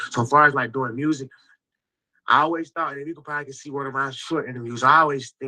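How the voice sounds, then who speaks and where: A man talking at a very fast pace, bright and sharp in tone, fairly even intonation, loudness swinging widely. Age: 30s. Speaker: rapper. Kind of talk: casual chat.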